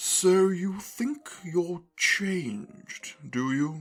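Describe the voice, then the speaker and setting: A put-on character voice at middle pitch and a very slow pace, with music in the background. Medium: audio drama. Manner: terse, contradicting.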